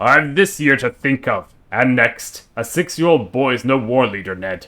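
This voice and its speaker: Putting on a character voice, a man speaks with lively intonation. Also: medium pitch for a man, moderate pace. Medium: virtual streamer. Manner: blunt, gruff.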